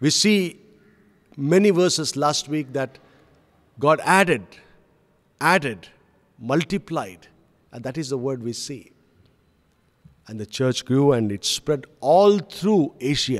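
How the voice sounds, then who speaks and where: Against a quiet background, a man speaks with long, frequent pauses. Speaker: pastor. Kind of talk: sermon. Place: church. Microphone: podium.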